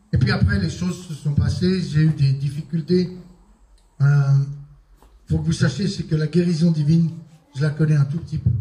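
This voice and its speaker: At a moderate pace, a man with a fairly high pitch and a dark, mellow tone speaks with ordinary pitch variation and long, frequent pauses. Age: 60s. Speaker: apostle, preacher. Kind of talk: sermon.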